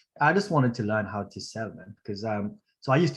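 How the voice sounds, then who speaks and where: Somewhat breathy, a man with a Mauritian accent talks very fast at a fairly low pitch. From Mauritius. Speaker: sales closer, student of sales training. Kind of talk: testimonial interview on livestream.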